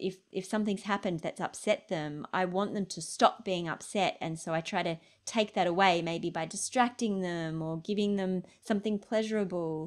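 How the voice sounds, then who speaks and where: This woman has a plain, everyday voice at a medium pitch, speaking at a moderate pace with fairly even intonation. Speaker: health journalist and documentary filmmaker. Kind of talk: Q&A answer in online interview. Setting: online video call, lockdown.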